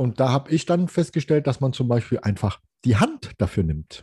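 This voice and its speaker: A man at medium pitch, fairly slow, somewhat breathy, with a dark, mellow tone, dry and close sound with no echo, and a quiet background. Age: 50s. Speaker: hobby photographer, podcast co-host, triathlete. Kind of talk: casual chat.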